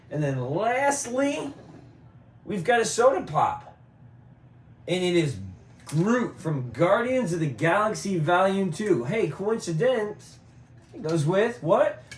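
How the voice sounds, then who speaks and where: At a very slow pace with long, frequent pauses, a man with a high pitch swings his voice very widely amid audible room echo. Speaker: collectibles YouTuber. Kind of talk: casual show-and-tell video. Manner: casual, chatty.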